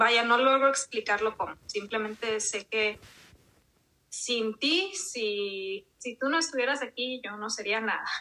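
A woman speaks at a very slow pace with a fairly high pitch and ordinary pitch variation. Her tone is bright and sharp. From Mexico, Monterrey. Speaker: podcast host guest. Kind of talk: interview testimony.

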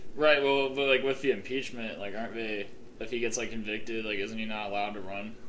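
A man with an American accent talks very fast at a medium pitch with fairly even intonation. Audible room echo and noticeable background noise fill the recording. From Ohio, Columbus. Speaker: podcast host. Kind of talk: casual chat.

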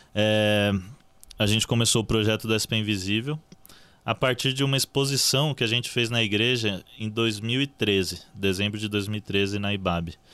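The voice has a bright, sharp tone and moves at a fairly slow pace, with very even loudness and fairly even intonation. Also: man, fairly low pitch for a man. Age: 20s. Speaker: journalist and social project co-founder. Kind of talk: casual chat.

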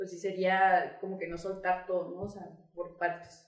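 A woman at a moderate pace with an unremarkable speaking voice. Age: 20s. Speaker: student and writer. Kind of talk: casual chat.

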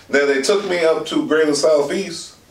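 A man over noticeable background noise. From Alexandria, Virginia (DC area). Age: 40s. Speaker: formerly homeless street newspaper vendor. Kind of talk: casual conversation, life story.

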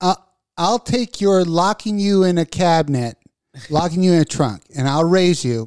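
A man's high voice, lively in intonation, at a moderate pace in a dry, close recording free of echo. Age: 40s. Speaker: radio host. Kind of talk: casual chat. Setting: studio.

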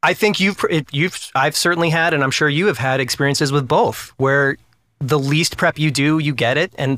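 A bright, sharp tone at a fairly quick pace, with very even loudness and hardly any pauses. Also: man, very clean recording, silent background. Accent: American. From US Northeast (New Hampshire). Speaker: actor. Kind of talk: casual chat.

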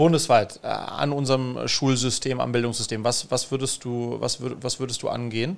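Barely pausing, a man with a normal speaking voice talks at a medium pitch with fairly even intonation. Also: moderate pace. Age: 40s. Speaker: podcast host and entrepreneur. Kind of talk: podcast interview.

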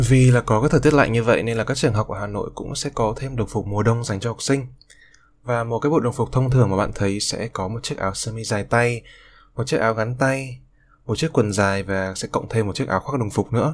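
A man speaks very fast with a Hanoi accent and ordinary pitch variation. The recording is very clean, with a silent background. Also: medium pitch for a man. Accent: Northern Vietnamese (Hanoi). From northern Vietnam, Hanoi. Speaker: student podcaster. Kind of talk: personal monologue podcast.

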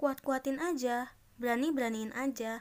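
A woman speaks at a fairly slow pace in an ordinary speaking voice. Her pitch is fairly high and her intonation fairly even. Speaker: solo podcaster. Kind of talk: casual monologue.

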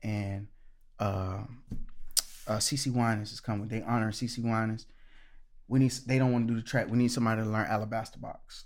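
Talking at a fairly quick pace, a man leaves long, frequent pauses. His intonation is monotone and flat, and there is audible room echo. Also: medium pitch for a man. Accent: American. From Orlando, Florida. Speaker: gospel musician. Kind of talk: casual interview.

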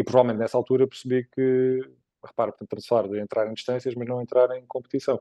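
In a dry, close recording with no echo, a man talks at a very fast pace with a dark, mellow tone. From Portugal, Évora (Alentejo). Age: 40s. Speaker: ultra-endurance cyclist. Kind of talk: casual interview.

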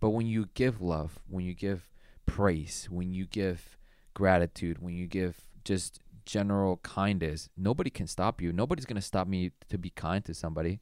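On a very clean recording with a silent background, a man with a very deep, low voice speaks at a moderate pace with fairly even intonation. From Colombian heritage. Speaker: podcast host. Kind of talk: casual chat.

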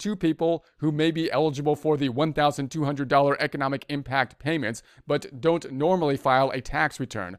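Here a man has a plain, everyday voice, fairly high in pitch. He keeps a moderate pace and fairly even intonation. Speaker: tax news presenter. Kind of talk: formal newsreading of a press release, then casual explanatory commentary. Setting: online video or podcast with description link. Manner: formal, even and measured, reading official text verbatim; plain conversational asides with fillers like uh.

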